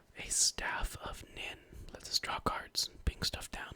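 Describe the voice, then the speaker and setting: Someone is whispering over noticeable background noise. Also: man. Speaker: ASMR channel host and card game deck tech creator. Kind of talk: casual deck tech talk to camera. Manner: whispered, soft-spoken, ASMR style.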